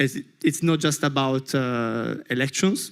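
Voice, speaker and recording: The man's voice sits at a fairly high pitch. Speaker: youth organization project officer. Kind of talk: panel discussion. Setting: conference panel with interpreters. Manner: fast; halting.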